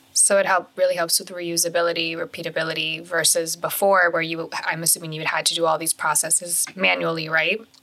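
At a fairly quick pace, a woman speaks in monotone, flat intonation with noticeable background noise. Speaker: podcast host. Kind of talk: casual podcast chat.

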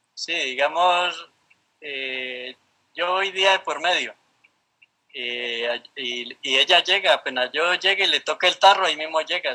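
Talking at a fairly slow pace, a man has a fairly high pitch with ordinary pitch variation. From Colombia, Valle del Cauca (rural Cali). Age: 60s. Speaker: park ranger. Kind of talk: interview. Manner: halting, with frequent repetitions.

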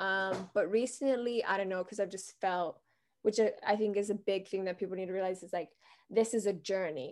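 A woman with a plain, everyday voice, medium in pitch, at a fairly quick pace with fairly even intonation, over a quiet background. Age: 20s. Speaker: heart disease patient and nonprofit co-founder. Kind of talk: interview.

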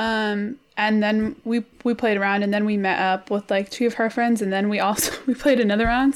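A woman's unremarkable speaking voice, fairly high in pitch, at a moderate pace. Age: 20s. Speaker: podcast co-host. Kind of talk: casual chat.

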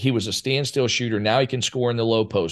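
The voice has an American accent, heard against a quiet background. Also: man. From Ohio, small town (Cambridge). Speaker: college basketball head coach. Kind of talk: casual interview. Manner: animated.

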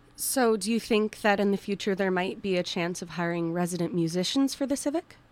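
Using a normal speaking voice, a woman talks fairly quickly at a medium pitch with lively intonation. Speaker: guest co-host, theater student. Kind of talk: radio interview. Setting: radio studio.

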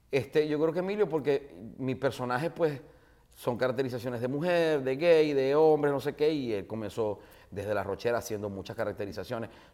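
Medium in pitch, a man speaks fairly quickly with lively intonation. His tone is dark and mellow. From Venezuela, Maracaibo. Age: 40s. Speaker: radio host and comedian. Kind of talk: casual interview chat. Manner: animated.

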